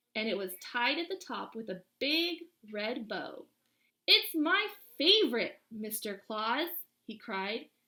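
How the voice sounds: Behind the voice, the background is quiet. It is a natural reading voice, with lively intonation.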